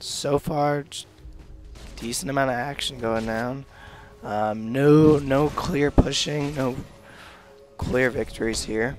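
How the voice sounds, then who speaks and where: Music sits behind a man talking at a very slow pace, with long, frequent pauses. His voice is medium in pitch with fairly even intonation. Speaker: amateur game commentator. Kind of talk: video game commentary.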